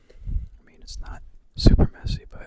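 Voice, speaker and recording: Whispering at a fairly slow pace. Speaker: student. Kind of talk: ASMR study-with-me talk. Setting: bedroom. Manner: whispered.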